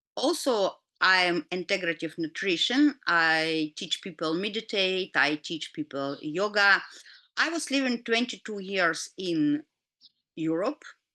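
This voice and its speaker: Over a quiet background with a dry, close sound and no echo, a woman with a Russian accent speaks at a fairly slow pace, her medium-pitched voice bright and sharp in tone with lively intonation. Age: 50s. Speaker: doctor and health educator. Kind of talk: lecture. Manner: halting.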